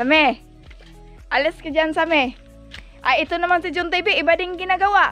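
Faint music plays behind a woman. She uses a raised, projected voice at a fairly quick pace. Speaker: vlogger. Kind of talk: casual vlog chat. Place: home room. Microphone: phone near.

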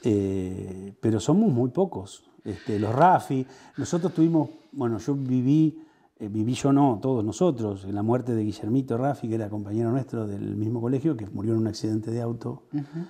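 At a moderate pace, a man speaks with a dark, mellow tone. His intonation is lively. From Argentina, Buenos Aires province. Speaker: local politician. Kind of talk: interview. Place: home room.

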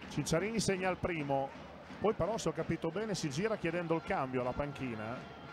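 A man's high-pitched voice with a warm tone and lively intonation. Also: fairly quick pace. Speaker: live TV basketball commentator. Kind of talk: live sports commentary, fast play-by-play of the action with short reactions. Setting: courtside at the arena, live TV broadcast. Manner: emotional, warm tone in the pre-game opening.

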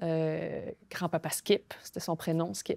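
Speaking at a very slow pace, a woman has a dark, mellow tone, with a dry sound that has no echo and a quiet background. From Quebec. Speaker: novelist and playwright; guest. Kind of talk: interview. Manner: halting. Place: studio. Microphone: lapel.

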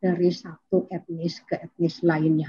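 Fairly even intonation marks this voice. It belongs to a woman. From West Java (Sundanese). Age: 50s. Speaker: demographer; guest. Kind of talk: online academic presentation. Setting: video call. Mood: cheerful, smiling. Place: home room. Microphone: video call.

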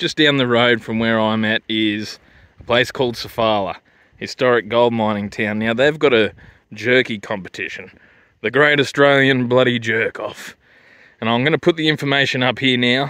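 Recorded dry with no echo against a quiet background, a man talks at a moderate pace with fairly even intonation. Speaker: vlogger reviewing food. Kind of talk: casual vlog chat. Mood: jokey, crude, laid-back. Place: open country. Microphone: phone near.

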